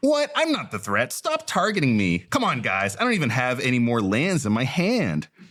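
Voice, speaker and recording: Putting on a whiny character voice at a medium pitch, a man talks at a moderate pace with a whiny tone and hardly any pauses. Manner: whiny, complaining.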